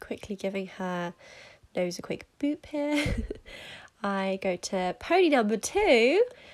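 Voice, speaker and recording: Speaking with a British accent, a woman moves at a very slow pace. Her pitch swings very widely. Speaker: horse rider. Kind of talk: voiceover narration.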